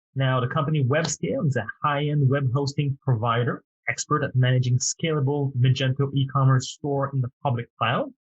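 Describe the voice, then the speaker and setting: This man talks at a moderate pace with a French accent, his voice somewhat breathy and fairly high in pitch. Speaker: podcast host. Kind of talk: interview podcast.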